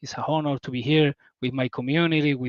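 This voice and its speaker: The sound is dry and close, with no echo. The pace is moderate. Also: man. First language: not English. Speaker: crypto community member. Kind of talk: casual livestream chat. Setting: video call livestream. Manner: halting.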